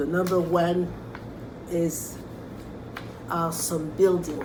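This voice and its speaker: Over noticeable background noise, a woman with a fairly low pitch speaks at a very slow pace with long, frequent pauses. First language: French. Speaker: art teacher. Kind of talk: tutorial. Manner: halting. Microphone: camera far.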